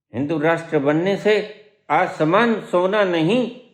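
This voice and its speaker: A man's voice carries audible room echo. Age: 70s. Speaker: spiritual teacher. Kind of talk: satsang discourse. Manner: animated.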